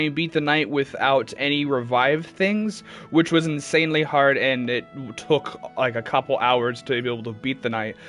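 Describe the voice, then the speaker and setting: With music in the background, the speaker keeps a moderate pace and ordinary pitch variation. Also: man. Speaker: gaming streamer. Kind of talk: live gameplay stream. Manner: loud; hesitant, many fillers.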